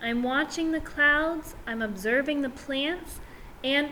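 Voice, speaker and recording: Against clear background noise, a woman uses a put-on character voice with a gentle tone at a fairly slow pace. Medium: read story. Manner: gentle, innocent.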